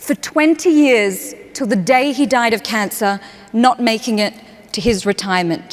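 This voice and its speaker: A woman with an Australian accent speaks at a fairly slow pace in an animated tone, her pitch swinging very widely over noticeable background noise. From Australia, Perth. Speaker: human connection speaker. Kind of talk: keynote talk. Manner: animated storytelling.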